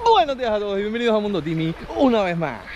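Lively intonation marks this man's fairly quick delivery. The sound is dry with no echo, though noticeable background noise is present. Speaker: adventure vlogger. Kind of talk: casual vlog chat. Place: beach. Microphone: phone near.

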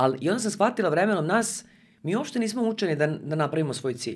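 Her pitch swings very widely as this woman talks. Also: quiet background. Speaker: podcast guest, communication trainer. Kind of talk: interview answer. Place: studio. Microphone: studio mic.

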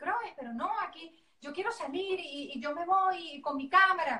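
A woman's raised, projected voice in a Venezuelan accent, bright and sharp in tone, with audible room echo and a quiet background. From Valencia, Venezuela. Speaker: journalist, former beauty queen. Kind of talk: interview answer. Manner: upbeat, expressive. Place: home room. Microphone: video call.

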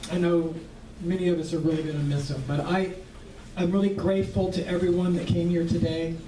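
Noticeable background noise accompanies a man with a high pitch. He speaks at a moderate pace with ordinary pitch variation. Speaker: memorial host. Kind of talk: memorial speech. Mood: warm, fond, a little laughing. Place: hall.

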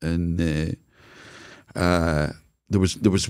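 In a Scottish accent, a man speaks at a very slow pace with a very deep, low pitch. His tone is dark and mellow, and the background is quiet. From Scotland. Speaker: business consultant; podcast guest. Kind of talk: casual interview. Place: studio. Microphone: studio mic.

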